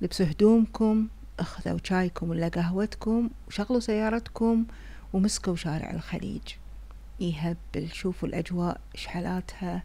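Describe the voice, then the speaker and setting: In a Kuwaiti accent, a woman speaks at a fairly slow pace. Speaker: vlogger. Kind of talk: casual vlog narration. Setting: in a car. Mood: relaxed, cheerful. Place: car. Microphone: phone near.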